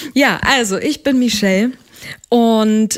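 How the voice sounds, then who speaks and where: A woman's fairly high-pitched voice at a very slow pace. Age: 30s. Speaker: wedding singer. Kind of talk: casual chat.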